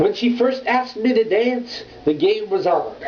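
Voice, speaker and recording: A man with lively intonation at a fairly slow pace, over noticeable background noise. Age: 20s. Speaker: slam poet. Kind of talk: slam poetry performance. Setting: home.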